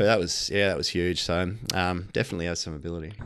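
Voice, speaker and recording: The speech comes at a very fast pace in an Australian accent. The background is quiet. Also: man. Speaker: racing tipster co-host. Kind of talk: casual racing preview chat.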